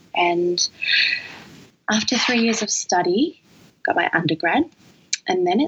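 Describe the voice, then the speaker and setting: A woman with an Australian accent speaks at a fairly slow pace over noticeable background noise. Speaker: dancer and new mother. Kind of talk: casual chat. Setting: recorded late at night.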